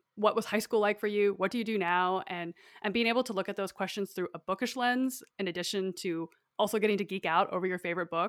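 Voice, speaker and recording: With an American accent, a woman talks at a very fast pace at medium pitch with fairly even intonation, the sound dry and close with no echo. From northern Idaho. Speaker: podcast host, guest. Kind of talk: casual chat. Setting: remote recording.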